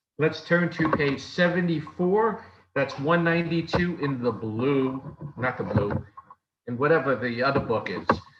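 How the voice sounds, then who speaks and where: A man speaks at a fairly high pitch with lively intonation. His pace is fairly slow. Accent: New York. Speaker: lay service leader. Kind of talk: worship service leading. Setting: video call.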